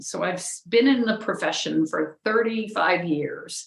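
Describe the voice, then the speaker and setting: A woman talks at a moderate pace, her pitch swinging very widely. Noticeable background noise sits behind her. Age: 60s. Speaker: architect. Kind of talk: interview conversation.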